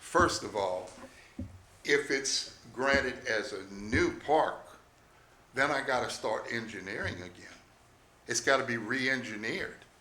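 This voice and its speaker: A man speaks at a fairly slow pace and medium pitch, with ordinary pitch variation and long, frequent pauses. Audible room echo surrounds his voice. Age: 70s. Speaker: RV park owner addressing town council. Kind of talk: public hearing testimony. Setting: town council meeting at city hall.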